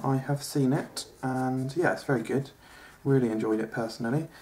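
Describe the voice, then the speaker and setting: Moderate pace and medium pitch from a man, with ordinary pitch variation. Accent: English. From England. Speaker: comedian. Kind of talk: comedic drawing tutorial sketch. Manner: hesitant, many fillers.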